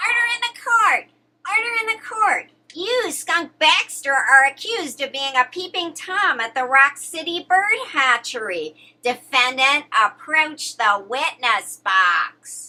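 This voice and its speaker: A put-on character voice, high-pitched and fairly slow, with very wide pitch swings. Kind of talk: comic overacting. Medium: comedy sketch.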